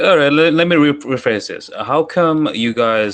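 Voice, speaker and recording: A man talks at a moderate pace with a London accent. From London, England. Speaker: Twitter Spaces participant. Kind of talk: heated debate.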